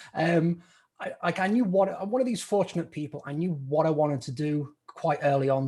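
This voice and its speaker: A man with a British accent talks at a moderate pace and a fairly high pitch, with ordinary pitch variation. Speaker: stock trader, podcast co-host. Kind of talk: interview.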